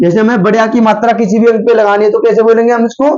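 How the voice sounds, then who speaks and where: A man talks at a high pitch. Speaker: online tutor teaching Hindi alphabet. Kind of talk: tutorial lesson.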